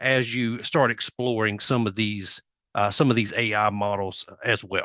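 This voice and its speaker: The voice has a bright, sharp tone and a moderate pace, recorded with a dry, close sound and no echo. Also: man. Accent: Southern US. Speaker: software industry presenter. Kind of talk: conference presentation.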